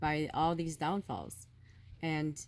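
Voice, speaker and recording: A woman speaks loudly in an animated tone. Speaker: spiritual vlogger. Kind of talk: spiritual monologue.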